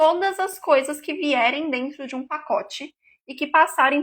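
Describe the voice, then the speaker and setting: Her high voice bright and sharp, a woman speaks at a fairly slow pace with fairly even intonation. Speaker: nutritionist. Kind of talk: live stream talk. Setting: live stream.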